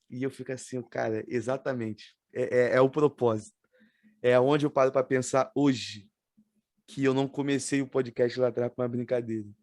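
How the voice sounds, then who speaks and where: Speaking in a strong Rio de Janeiro accent, a man keeps a monotone, flat intonation. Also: medium pitch for a man, moderate pace. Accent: strong carioca. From Rio de Janeiro, Baixada Fluminense (Nilópolis). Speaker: podcast host. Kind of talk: casual chat.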